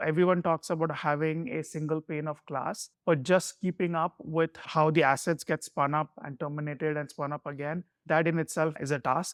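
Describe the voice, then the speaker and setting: With a Keralan accent, a man speaks at a moderate pace and fairly high pitch with fairly even intonation, in a dry, close sound with no echo over a quiet background. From India, Mumbai. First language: Malayalam. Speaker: security executive. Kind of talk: interview.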